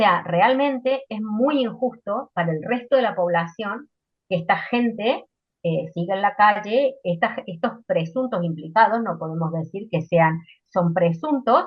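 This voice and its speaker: Somewhat breathy and medium in pitch, a woman talks at a fairly slow pace with lively intonation. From Argentina. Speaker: political debate panelist. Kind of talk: panel debate. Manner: hesitant, many fillers.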